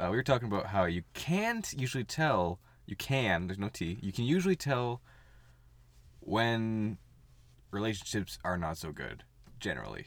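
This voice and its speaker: Speaking at a moderate pace with lively intonation and long, frequent pauses, a man comes through on a very clean recording with a silent background. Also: medium pitch for a man. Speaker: podcast host. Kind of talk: casual banter podcast chat.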